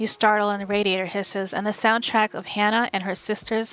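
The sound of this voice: Reading in an unforced voice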